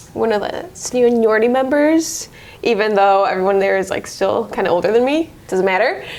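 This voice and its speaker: A woman's fairly high, lively voice at a moderate pace, over noticeable background noise. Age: 20s. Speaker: car saleswoman. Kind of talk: casual interview.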